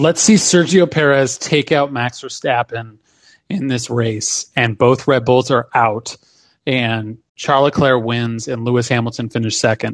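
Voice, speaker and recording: A man has a plain, everyday voice of medium pitch with ordinary pitch variation. He talks at a fairly slow pace against a quiet background. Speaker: sports podcast co-host. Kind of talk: casual chat. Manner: analytical, explanatory.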